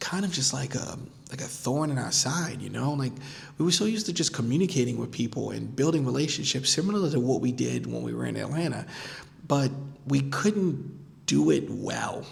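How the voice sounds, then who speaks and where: Over music in the background, a man with an American accent talks at a fairly quick pace, with audible room echo. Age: 40s. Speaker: podcast host, life design consultant. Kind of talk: casual vlog monologue. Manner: conversational, many fillers and repetitions.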